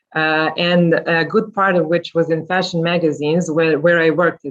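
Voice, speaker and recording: Fairly quick pace with a Serbian accent. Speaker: journalist and podcast host. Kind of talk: panel talk. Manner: halting.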